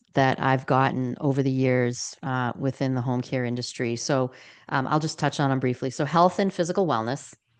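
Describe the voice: A woman speaks at a moderate pace with an extremely low pitch. Her tone is clear and smooth.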